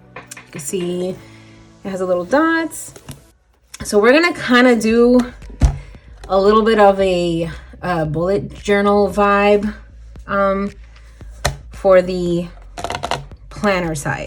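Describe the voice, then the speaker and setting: A woman at medium pitch speaks at a very slow pace with long, frequent pauses. Her intonation is lively, her loudness swings widely, and music plays in the background. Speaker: budgeting YouTuber. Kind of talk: casual tutorial vlog.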